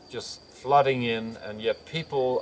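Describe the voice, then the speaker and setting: Over noticeable background noise, a man with an Australian accent talks at a very slow pace, his medium-pitched voice keeping fairly even intonation. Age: 70s. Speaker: naturopath and chiropractor. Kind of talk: interview answer.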